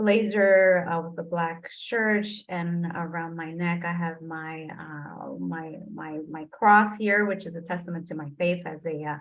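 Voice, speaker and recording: The speaker has a Spanish accent and talks fairly slowly. The intonation is fairly even, yet the loudness swings widely. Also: woman, fairly low pitch for a woman, hardly any pauses. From New Jersey (Trenton), born in Puerto Rico. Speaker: diversity and inclusion executive. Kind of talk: interview.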